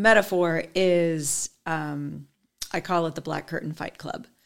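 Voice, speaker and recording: An unremarkable speaking voice moves at a fairly slow pace with fairly even intonation on a very clean recording with a silent background. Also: woman. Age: 40s. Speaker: skincare sales consultant. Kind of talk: casual chat.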